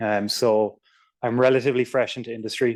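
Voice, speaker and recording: The recording is very clean, with a silent background. A man speaks at a medium pitch in a monotone with flat intonation. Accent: Irish. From Ireland. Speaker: software engineer. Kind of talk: technical talk. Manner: fast; casual, many fillers.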